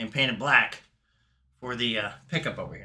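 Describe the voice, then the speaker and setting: A man speaks at a moderate pace with medium pitch and a bright, sharp tone. The recording is very clean, with a silent background. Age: 60s. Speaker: guitar hobbyist YouTuber. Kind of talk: casual tutorial. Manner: casual, hesitant with fillers.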